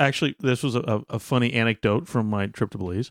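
With a Southern US accent, a man talks at a medium pitch with ordinary pitch variation, recorded very cleanly against a silent background in a dry, close sound with no echo. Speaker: podcast co-host.

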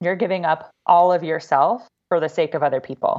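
A woman speaks at a moderate pace in an ordinary speaking voice, her pitch fairly low with ordinary pitch variation, against a quiet background. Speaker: life coach, Air Force veteran. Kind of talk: interview conversation.

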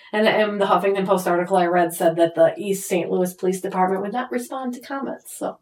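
Doing a put-on character voice, a woman talks quietly and raspily at a very fast pace with hardly any pauses, at medium pitch with ordinary pitch variation. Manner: voice trailing off, quiet.

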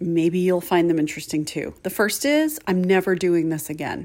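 On a very clean recording with a silent background, a plain, everyday voice speaks with ordinary pitch variation. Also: woman. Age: 50s. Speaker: podcast host. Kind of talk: solo casual monologue.

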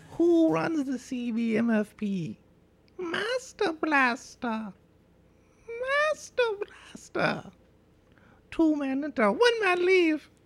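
A put-on character voice, high-pitched, speaks at a very slow pace with long, frequent pauses. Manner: booming, declamatory.

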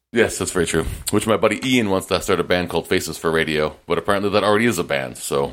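This man talks at a very fast pace in a very deep, low voice with vocal fry, lively intonation and very even loudness. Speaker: podcast host. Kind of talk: casual chat.

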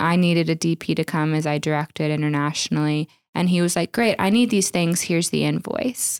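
With an unremarkable speaking voice, a woman talks at a moderate pace in a fairly low pitch with ordinary pitch variation, on a very clean recording with a silent background and a dry, close sound with no echo. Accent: American. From Oklahoma. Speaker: wedding videographer. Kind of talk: casual interview.

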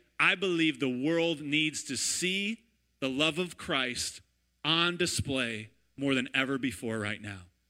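The tone is bright, sharp and animated, with lively intonation at a fairly slow pace. The recording is very clean, with a silent background. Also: man, fairly high pitch for a man. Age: 30s. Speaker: pastor. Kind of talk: sermon. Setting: church.

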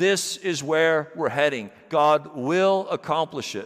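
At a fairly slow pace, a man with a plain, everyday voice speaks at a fairly high pitch and with ordinary pitch variation. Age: 50s. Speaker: pastor. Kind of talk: sermon. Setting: church.

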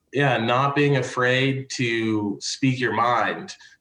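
Ordinary pitch variation in a man's voice of medium pitch. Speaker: podcast host. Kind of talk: casual chat. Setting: video call. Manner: animated.

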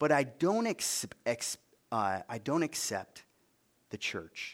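In a western New York accent, the voice swings very widely in pitch and slips into vocal fry, captured as a dry, close sound with no echo in a very clean recording with a silent background. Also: man. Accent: Inland North American (western New York). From US, Buffalo suburbs, New York. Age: 50s. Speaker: guest preacher. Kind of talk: sermon. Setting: stage with audience.

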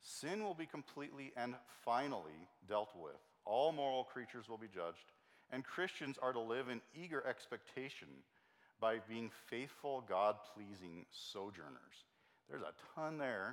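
A man's normal speaking voice, medium in pitch, with lively intonation. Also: moderate pace. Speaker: Bible study teacher. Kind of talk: lecture.

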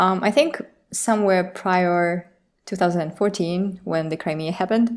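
Recorded very cleanly against a silent background, a woman with a Russian accent speaks at medium pitch with ordinary pitch variation. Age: 20s. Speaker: illustrator. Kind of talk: interview.

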